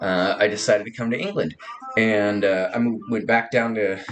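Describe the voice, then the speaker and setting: A man speaks with a Californian accent at a moderate pace, with ordinary pitch variation. Noticeable background noise runs underneath. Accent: Californian American. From Southern California. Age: 30s. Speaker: vlogger. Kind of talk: casual personal monologue. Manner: halting, many fillers.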